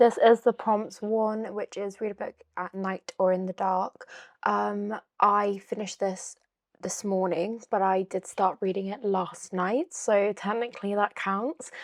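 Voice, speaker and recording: A woman with a British accent at a fairly slow pace, in a dry, close sound with no echo. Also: medium pitch for a woman, fairly even intonation. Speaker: book vlogger. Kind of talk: casual vlog talk. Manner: hesitant, many fillers; calm, gentle.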